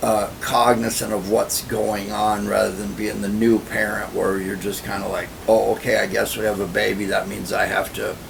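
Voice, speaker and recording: A man at a moderate pace with hardly any pauses, amid noticeable background noise and audible room echo. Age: 60s. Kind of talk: personal vlog monologue. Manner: casual, filler-heavy.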